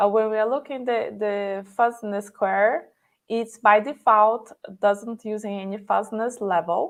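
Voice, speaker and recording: A woman with a non-native accent speaks in a fairly high pitch against a quiet background. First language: not English. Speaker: conference speaker. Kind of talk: live coding tutorial.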